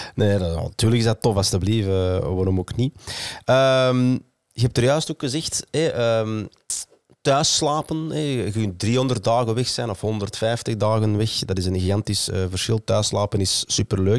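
At a fairly slow pace, a man with a medium pitch and ordinary pitch variation speaks in a dry sound with no echo over a quiet background. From Flanders. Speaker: podcast host. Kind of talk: casual chat. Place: studio. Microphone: studio mic.

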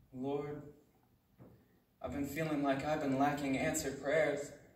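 There is audible room echo. A man's voice carries through it. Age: 20s. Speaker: spoken word poet. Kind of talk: spoken word poetry performance. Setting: live audience at a retreat. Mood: earnest, reflective. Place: hall. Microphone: pa.

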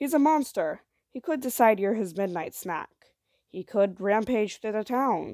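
Over a quiet background, the speaker uses a natural reading voice.

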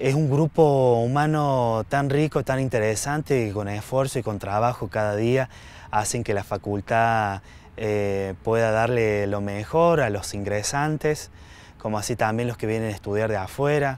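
With ordinary pitch variation, a man talks at a fairly slow pace in a dry sound with no echo. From Argentina. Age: 30s. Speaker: library science student and library worker; interviewee. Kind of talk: interview testimony. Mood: warm, appreciative. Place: open country.

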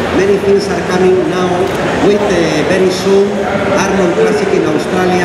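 Loud background noise and audible room echo fill the clip. A man is speaking. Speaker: sports federation president. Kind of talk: onstage speech. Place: stage. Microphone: pa.

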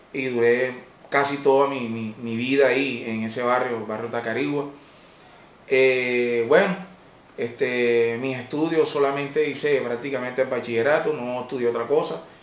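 The man speaks at a moderate pace with fairly even intonation, and the room echo is audible. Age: 30s. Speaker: comedian. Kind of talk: personal life-story monologue. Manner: halting. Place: office.

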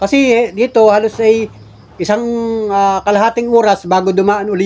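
A man at a moderate pace. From Philippines. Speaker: vlogger; home vlogger. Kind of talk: casual vlog narration. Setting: outdoors. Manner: animated. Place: home room. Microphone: phone near.

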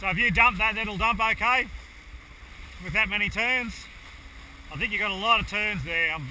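A man's raised, projected voice at a moderate pace with ordinary pitch variation, dry with no echo, over light background noise. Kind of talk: crew instructions during a race. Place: boat.

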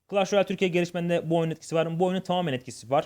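This man speaks at a fairly high pitch. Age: 20s. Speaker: gaming YouTuber. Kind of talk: Q&A vlog. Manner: hesitant with fillers.

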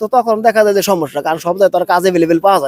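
A man's voice, with ordinary pitch variation, sounds dry and close with no echo. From Bangladesh, Manikganj district. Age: 30s. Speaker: migrant worker, plumber. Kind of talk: interview.

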